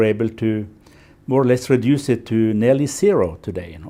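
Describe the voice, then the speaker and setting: A man's medium-pitched voice with a Norwegian accent, dark and mellow in tone, with lively intonation and a fairly quick pace. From Norway, west coast. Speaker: environmentalist and NGO founder. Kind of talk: interview. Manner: halting, many fillers.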